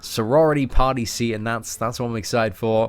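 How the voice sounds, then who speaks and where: Music plays behind a man with an English accent who talks at medium pitch and a moderate pace. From England. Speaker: streamer reading chat. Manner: casual, friendly.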